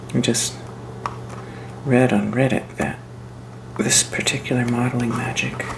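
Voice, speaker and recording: The delivery is fairly slow and relaxed in tone, with long, frequent pauses. Noticeable background noise runs underneath. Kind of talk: soft-spoken crafting ASMR narration to camera. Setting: home crafting video, close mic. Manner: soft-spoken, relaxed, casual.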